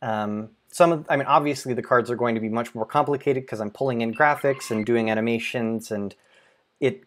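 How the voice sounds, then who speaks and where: At a fairly quick pace, a man speaks at medium pitch. His pitch variation is ordinary. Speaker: software developer. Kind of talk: live stream Q&A. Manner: fast.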